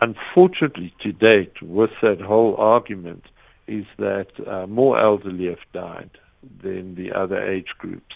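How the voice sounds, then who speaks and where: A man with a plain, everyday voice speaks at a fairly slow pace and fairly low pitch, with ordinary pitch variation and big swings in loudness. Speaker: psychiatrist. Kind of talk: expert interview. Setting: phone call.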